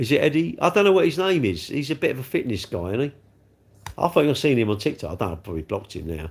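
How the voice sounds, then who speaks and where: Very fast speech from a man at medium pitch, very wide pitch swings and vocal fry, in a very clean recording with a silent background. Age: 60s. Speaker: live streamer. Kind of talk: casual chat. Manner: rambling, conversational.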